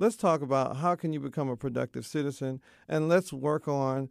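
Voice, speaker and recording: In a very clean recording with a silent background and a dry, close sound with no echo, a man talks at a fairly quick pace in an ordinary speaking voice, medium in pitch with ordinary pitch variation. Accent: American. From Texas. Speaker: school principal. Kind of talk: interview.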